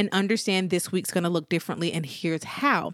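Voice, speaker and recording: A woman at a very fast pace with a fairly low pitch, in a very clean recording with a silent background. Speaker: podcast host and small business owner. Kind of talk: solo podcast monologue.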